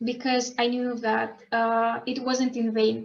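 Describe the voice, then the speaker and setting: A woman's high-pitched voice. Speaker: scholarship student. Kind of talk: online panel talk. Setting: video call. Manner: halting.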